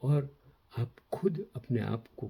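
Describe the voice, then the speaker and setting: Very wide pitch swings in a man's dark, mellow tone. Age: 80s+. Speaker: commentator on history and current affairs. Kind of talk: moral talk to camera; reading aloud.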